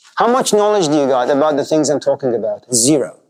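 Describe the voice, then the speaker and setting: At a moderate pace, a man speaks with very wide swings in pitch. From Middle East. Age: 60s. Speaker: teacher. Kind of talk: lecture. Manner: animated.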